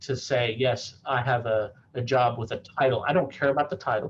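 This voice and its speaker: This man's voice is somewhat breathy and sits at a medium pitch. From South Africa. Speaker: sports camp director. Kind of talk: prepared presentation. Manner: fast.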